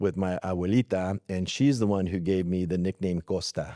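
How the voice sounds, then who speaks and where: A man's very deep, low voice carries a dark, mellow tone on a very clean recording with a silent background. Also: dry, close sound with no echo. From California, Atwater (rural Central Valley). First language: Spanish. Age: 50s. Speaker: school superintendent. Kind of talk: interview. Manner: halting, many fillers.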